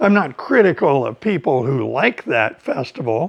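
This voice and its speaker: A man with a General American accent speaks fairly slowly at a fairly high pitch, his intonation lively and his voice showing vocal fry. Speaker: English teacher. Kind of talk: educational talk for language learners. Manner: slow, clear.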